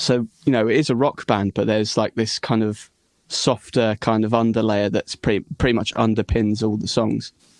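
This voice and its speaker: A man speaks at a moderate pace and medium pitch in a monotone, flat intonation. The sound is dry and close with no echo, over a quiet background. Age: young. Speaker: rock musician and singer. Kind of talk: casual interview chat.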